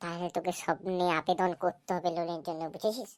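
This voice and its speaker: A female-sounding voice does a cartoonish character at a fairly low pitch. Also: moderate pace. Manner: smug, joking.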